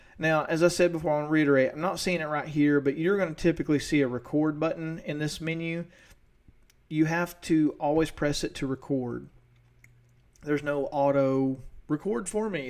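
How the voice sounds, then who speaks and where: With an East Tennessee accent, a man speaks at a fairly quick pace with fairly even intonation. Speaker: teacher. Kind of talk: tutorial. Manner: fast.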